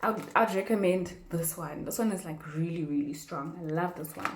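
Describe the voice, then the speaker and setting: Noticeable background noise and audible room echo surround an animated tone with ordinary pitch variation. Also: woman. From South Africa. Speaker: YouTuber. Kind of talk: casual tutorial.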